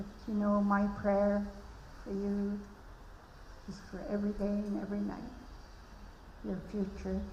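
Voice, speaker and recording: With a British Columbia accent, the speaker talks fairly slowly in a monotone, flat way with long, frequent pauses, against audible room echo and noticeable background noise. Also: woman, medium pitch for a woman. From Malahat Nation, Vancouver Island, Canada. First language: Halkomelem. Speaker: elder giving a blessing. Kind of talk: ceremonial blessing speech.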